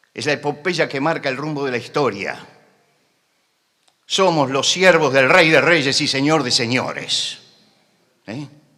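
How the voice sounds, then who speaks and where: A man with a fairly high pitch and a bright, sharp tone speaks at a fairly slow pace, with long, frequent pauses. His loudness swings widely, and there is audible room echo. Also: ordinary pitch variation. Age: 70s. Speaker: preacher. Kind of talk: sermon. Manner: impassioned, emphatic.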